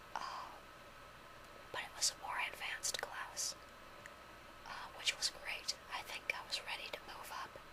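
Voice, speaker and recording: Whispering at a fairly slow pace with long, frequent pauses, a woman is heard over noticeable background noise. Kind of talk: casual talk to camera. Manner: whispered.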